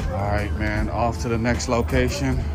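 A man speaks at a fairly slow pace with clear music in the background. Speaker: vlogger. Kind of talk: casual vlog chat. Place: street. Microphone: phone near.

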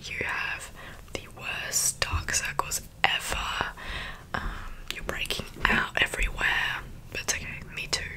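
A woman whispers at a fairly slow pace. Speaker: ASMR creator. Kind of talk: roleplay talk to viewer. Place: home room. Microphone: studio mic.

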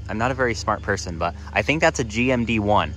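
Faint music plays in the background as a man talks at a moderate pace, the sound dry with no echo. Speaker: railfan vlogger. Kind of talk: casual vlog chat. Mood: excited, pleased. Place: open country. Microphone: phone near.

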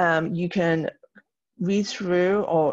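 A woman speaks in an ordinary speaking voice, fairly low in pitch with ordinary pitch variation, against a quiet background. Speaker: teacher. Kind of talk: recorded lesson tutorial. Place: home room.

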